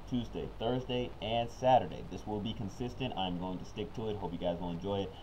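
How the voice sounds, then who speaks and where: A man in a plain, everyday voice talks fairly quickly at a fairly low pitch with ordinary pitch variation. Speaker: card game commentator. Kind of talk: live gameplay commentary. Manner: casual, upbeat.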